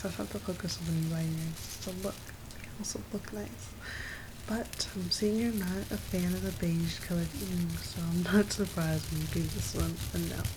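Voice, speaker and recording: A woman talks at a moderate pace. She is soft-spoken. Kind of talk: asmr roleplay, personal attention shop scene. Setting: rain sounds in background.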